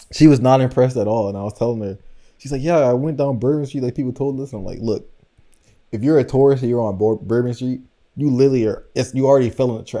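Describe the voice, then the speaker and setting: The speech moves at a very fast pace with fairly even intonation. The tone is dark and mellow. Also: man, medium pitch for a man. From New Orleans. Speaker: podcast co-host. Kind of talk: casual chat.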